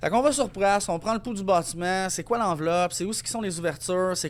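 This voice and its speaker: This man's voice sits high in pitch for a man. His pitch varies in an ordinary way. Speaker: energy efficiency consultant and business owner. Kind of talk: podcast interview. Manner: fast.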